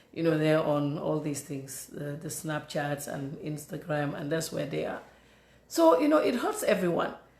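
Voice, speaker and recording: A woman speaks in an animated tone with a Gambian accent. Her moderate pace is heard with audible room echo. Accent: non-native English, Gambian. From The Gambia. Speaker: political commentator. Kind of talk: political commentary monologue. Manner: animated, repetitive stammering.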